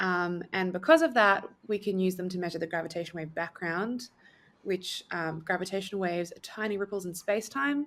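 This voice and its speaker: In an Australian accent, a woman talks at a fairly quick pace and a medium pitch, with ordinary pitch variation and big swings in loudness, recorded very cleanly against a silent background. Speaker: astrophysics PhD student. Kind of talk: podcast interview.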